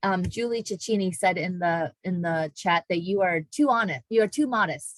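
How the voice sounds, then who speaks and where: With lively intonation and hardly any pauses, a woman talks at a moderate pace in a dry, close sound with no echo. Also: medium pitch for a woman. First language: not English. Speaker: university diversity education staff, moderator. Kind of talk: moderated online panel discussion.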